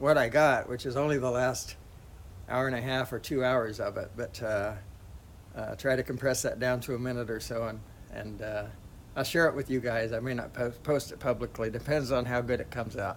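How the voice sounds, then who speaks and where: A man talks at medium pitch with fairly even intonation. His pace is fairly quick. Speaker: drone live streamer. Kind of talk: live stream commentary. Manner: quiet; halting.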